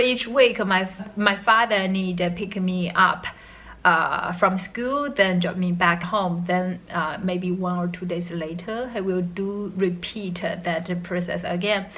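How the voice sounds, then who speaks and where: A woman with a non-native accent speaks at a very slow pace. Her pitch is medium, with ordinary pitch variation. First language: not English. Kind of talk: casual talk to camera. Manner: hesitant, many fillers.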